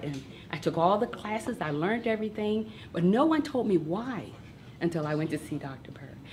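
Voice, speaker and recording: Background noise is noticeable as a woman talks at a fairly quick pace. Her pitch varies in an ordinary way. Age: 60s. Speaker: nurse. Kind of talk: testimony. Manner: enthusiastic.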